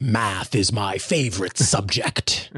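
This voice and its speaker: A man puts on a raspy, menacing character voice and talks at a fairly slow pace. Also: fairly low pitch for a man. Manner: menacing, gleeful.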